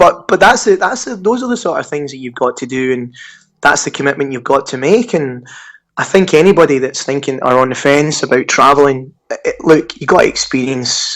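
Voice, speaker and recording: A man speaks with a Scottish accent. His pitch is fairly high and his intonation lively. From Scotland. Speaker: digital marketer. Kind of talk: podcast interview. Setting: Skype call.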